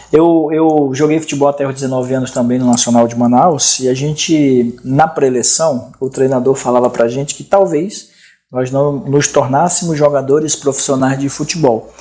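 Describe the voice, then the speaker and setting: Hardly pausing, a man talks at a moderate pace with fairly even intonation. His tone is dark and mellow, his pitch fairly high. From Amazonas, Brazil. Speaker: interview show host. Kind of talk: casual interview. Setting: studio.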